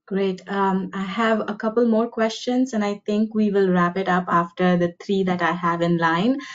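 Woman at a moderate pace with ordinary pitch variation over a quiet background. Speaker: webinar moderator. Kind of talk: Q&A moderation. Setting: video call. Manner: halting. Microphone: video call.

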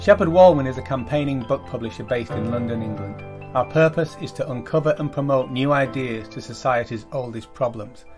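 Over music in the background, the speech moves at a fairly quick pace with ordinary pitch variation. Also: man. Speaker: podcast host. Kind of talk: podcast introduction.

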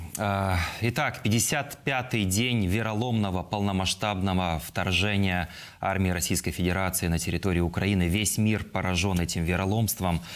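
A man speaks in a very deep, low pitch. His pace is moderate and his pitch variation ordinary. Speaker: TV news presenter. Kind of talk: broadcast interview. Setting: TV studio. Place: studio. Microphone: lapel.

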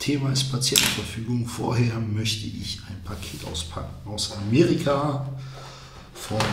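A man speaks at a fairly slow pace. His pitch varies in an ordinary way, and there is noticeable background noise. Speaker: vlogger. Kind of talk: casual vlog chat. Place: home room.

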